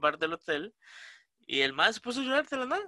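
With a dry, close sound and no echo, a man speaks fairly quickly in a bright, sharp tone with very wide pitch swings. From Costa Rica, San Rafael de Moravia. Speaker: podcast co-host. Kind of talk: casual chat.

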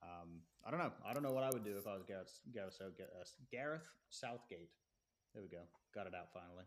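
With an American accent, a man talks at a fairly low pitch and a fairly quick pace. His intonation is lively, broken by long, frequent pauses. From England. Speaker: podcast guest, soccer fan. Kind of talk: casual chat.

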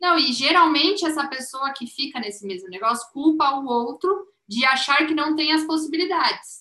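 A woman speaks in a raised, projected voice at a high pitch. Her intonation is lively and her pace moderate. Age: 20s. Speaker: business manager. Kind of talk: casual chat.

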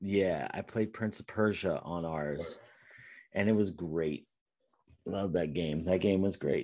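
A man speaks at a very slow pace with long, frequent pauses, his voice very deep and low with a dark, mellow tone. His pitch varies in an ordinary way, and the background is quiet. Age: 40s. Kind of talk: casual chat. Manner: animated.

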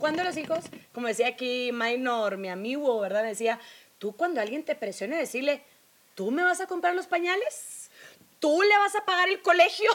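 Noticeable background noise accompanies a woman speaking at a moderate pace, her high pitch swinging very widely. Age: 30s. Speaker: podcast co-host. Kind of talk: casual chat.

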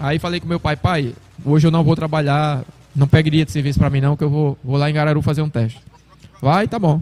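An unremarkable speaking voice from a man, fairly high in pitch, fairly quick, with fairly even intonation. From Brazil, Sergipe interior. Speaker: retired footballer. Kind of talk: casual interview.

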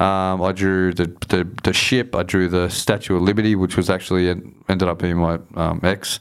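With hardly any pauses, a man with an Australian accent speaks in a very deep, low voice, his intonation monotone and flat and his loudness very even. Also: moderate pace, very clean recording, silent background. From Southwest Sydney, Australia. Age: 40s. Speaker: hip hop artist. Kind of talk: casual chat.

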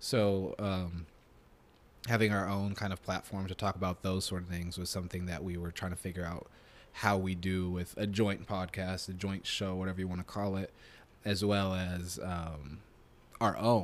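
In an American accent, a man speaks with a very deep, low pitch and monotone, flat intonation. The recording is very clean, with a silent background. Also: moderate pace. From Nebraska. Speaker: podcast co-host. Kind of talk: casual chat. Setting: apartment.

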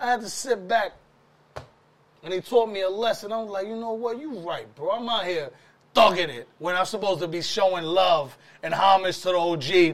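In a New York accent, a man speaks at a moderate pace with a high pitch and ordinary pitch variation. His loudness swings a lot. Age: 40s. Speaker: podcast host. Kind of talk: casual interview. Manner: animated.

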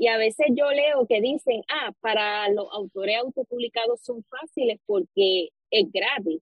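A woman's unremarkable speaking voice, fairly high-pitched with ordinary pitch variation, at a fairly slow pace with hardly any pauses. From Puerto Rico, Arecibo. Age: 20s. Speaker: novelist. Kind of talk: interview.

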